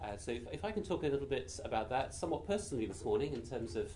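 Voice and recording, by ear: Quiet and very fast, a man with a British accent speaks at a medium pitch with big pitch swings.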